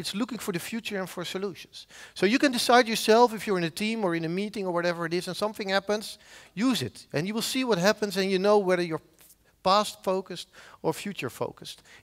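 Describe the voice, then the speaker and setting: A man's high-pitched voice in a Dutch accent at a very fast pace. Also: ordinary pitch variation, quiet background. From Netherlands, Zeeland; Netherlands. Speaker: professor of software engineering; conference speaker. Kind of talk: conference talk. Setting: stage with audience. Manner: halting. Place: hall. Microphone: headset.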